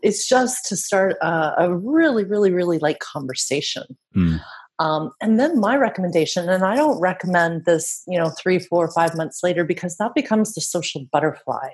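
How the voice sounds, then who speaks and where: A woman with a Canadian accent speaks in an unremarkable speaking voice at a moderate pace, her fairly low pitch carried by lively intonation over a quiet background. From Canada. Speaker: LinkedIn marketing expert. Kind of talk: interview. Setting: radio show remote interview.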